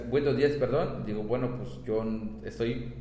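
The voice moves at a fairly slow pace amid noticeable background noise and audible room echo. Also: man. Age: 30s. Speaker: teacher. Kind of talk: casual chat.

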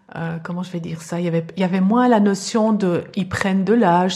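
A woman talks at a fairly quick pace and a medium pitch. Her intonation stays fairly even. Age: 50s. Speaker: podcast guest. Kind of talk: interview. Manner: halting.

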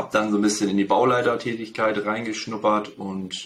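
A man talks at a fairly quick pace. His is an ordinary speaking voice, fairly low in pitch. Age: 30s. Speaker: real estate agent. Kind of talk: interview.

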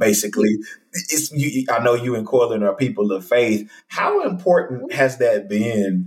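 With an American accent, a man speaks at a fairly slow pace and medium pitch, his tone animated, his intonation lively and his voice somewhat breathy. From Texas. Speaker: podcast host and speaker. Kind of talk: casual interview. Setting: video call.

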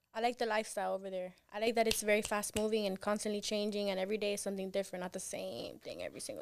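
A woman with a Miami accent talks very fast at a medium pitch, with hardly any pauses. Her intonation is monotone and flat while her loudness swings widely. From Miami, Cuban-American. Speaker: radio co-host and student. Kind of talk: casual chat. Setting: studio.

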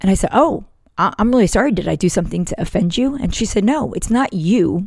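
A woman with an American accent speaks fairly quickly in a fairly high pitch, her intonation lively. Her tone is dark and mellow, and somewhat breathy. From northern US. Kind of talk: devotional talk.

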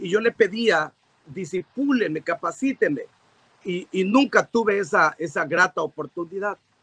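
Raised and projected, a man's high-pitched voice has a bright, sharp tone, long and frequent pauses, and a dry, close sound with no echo. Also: ordinary pitch variation, fairly slow pace. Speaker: pastor and evangelist. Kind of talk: interview.

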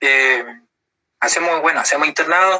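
A man speaks at a high pitch for a man. His pitch variation is ordinary. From southern Chile, Puerto Montt. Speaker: Mapuche language teacher and engineering student. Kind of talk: interview.

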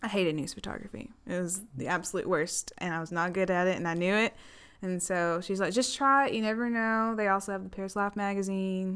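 Speaking fairly quickly with ordinary pitch variation, a woman with an American accent has a plain, everyday voice. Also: medium pitch for a woman. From Texas. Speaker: photographer and videographer at a local newspaper. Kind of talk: casual interview chat.

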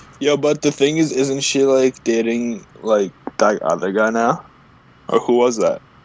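A man's medium-pitched voice at a fairly slow pace, with very even loudness, ordinary pitch variation and noticeable background noise. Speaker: podcast co-host. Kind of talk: casual banter. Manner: teasing, cocky.

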